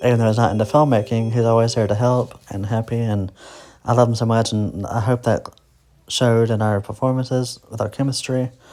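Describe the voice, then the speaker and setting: Soft-spoken, with a dark, mellow tone and a medium pitch, a man talks at a fairly quick pace in a monotone, flat intonation. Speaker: independent film director and actor. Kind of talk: director's commentary. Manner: hesitant, many fillers.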